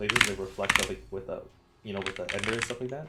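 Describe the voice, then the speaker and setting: Over music in the background, a man talks very fast at a medium pitch for a man. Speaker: gaming video creator. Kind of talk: casual gameplay commentary. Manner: halting, start-stop.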